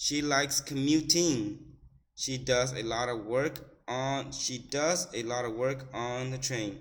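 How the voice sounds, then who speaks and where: A man with an American accent, medium-pitched, very slow, with fairly even intonation. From United States. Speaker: English teacher. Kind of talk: classroom reading lesson. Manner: slow, repetitive, instructional.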